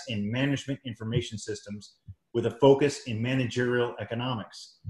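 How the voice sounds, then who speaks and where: A somewhat breathy man at a moderate pace, with ordinary pitch variation and audible room echo. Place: home room. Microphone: video call.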